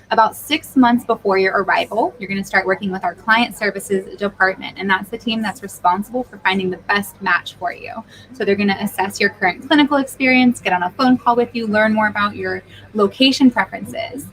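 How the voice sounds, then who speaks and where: Over noticeable background noise, a woman at medium pitch speaks at a fairly quick pace, with ordinary pitch variation and big swings in loudness. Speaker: recruitment agency presenter. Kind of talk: live-streamed info session. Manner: animated.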